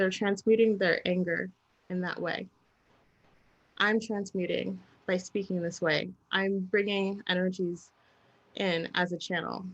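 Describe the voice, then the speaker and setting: A soft-spoken woman talks at a fairly slow pace with monotone, flat intonation and long, frequent pauses. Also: medium pitch for a woman. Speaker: spiritual channeler and intuitive reader. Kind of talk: live stream conversation.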